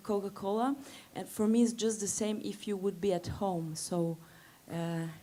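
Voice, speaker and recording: Here a woman speaks with a Slovenian accent. She has a medium pitch and ordinary pitch variation. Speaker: singer. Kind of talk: casual interview. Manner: hesitant, many fillers.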